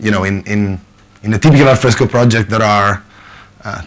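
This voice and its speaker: A man's fairly low voice at a fairly quick pace. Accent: Italian. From Italy. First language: Italian. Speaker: software consultant manager. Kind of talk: conference talk. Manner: hesitant, many fillers.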